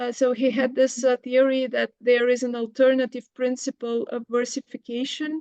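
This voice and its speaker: Delivered with a Bulgarian accent at a moderate pace, the speech has hardly any pauses, a monotone, flat intonation and a dark, mellow tone in a dry, close sound with no echo. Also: woman, high pitch for a woman. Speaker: professor. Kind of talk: academic Q&A. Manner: halting, many fillers.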